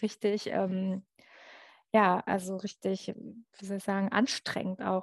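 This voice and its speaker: In a quiet background with dry, close sound and no echo, a woman speaks fairly slowly in a monotone, flat voice. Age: 40s. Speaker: journalist and author. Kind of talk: casual chat.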